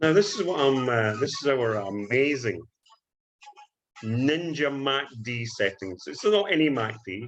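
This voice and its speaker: Music plays in the background as a man with a Scottish accent speaks fairly slowly at a medium pitch, his pitch swinging very widely. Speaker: forex trading educator. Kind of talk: screen-share trading tutorial.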